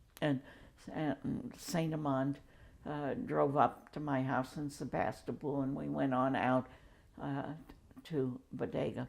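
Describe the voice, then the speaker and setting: The woman's pitch is very deep and low, with vocal fry and fairly even intonation. She speaks at a very slow pace, leaving long, frequent pauses. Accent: American. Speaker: geologist and environmental activist. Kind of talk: oral history interview answer.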